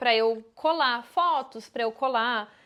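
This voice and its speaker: The recording is very clean with a silent background. A woman speaks with lively intonation. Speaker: travel vlogger. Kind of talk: casual vlog talk.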